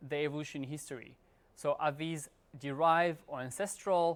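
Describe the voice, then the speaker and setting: A man speaks at a fairly quick pace with a fairly high pitch and ordinary pitch variation. The recording is very clean, with a silent background. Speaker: professor. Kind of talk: lecture. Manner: fast; halting.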